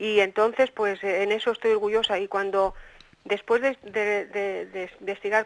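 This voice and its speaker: A woman's medium-pitched voice in a monotone, flat intonation at a moderate pace. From Spain, Cantabria (Santander). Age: 60s. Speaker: poet. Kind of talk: interview.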